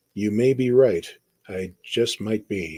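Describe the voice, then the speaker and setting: In a put-on character voice, a man talks at a fairly slow pace with a fairly low pitch. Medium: read story. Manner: warm, gentle.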